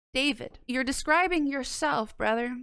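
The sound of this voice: With a clear, smooth, fairly bright tone, a woman talks at a moderate pace in a high pitch with ordinary pitch variation.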